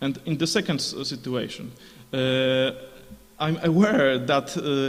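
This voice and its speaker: A man with a non-native accent speaks fairly slowly, fairly high in pitch with lively intonation. Noticeable background noise and audible room echo fill the recording. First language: Polish. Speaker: conference speaker. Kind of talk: conference Q&A answer. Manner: halting, many fillers.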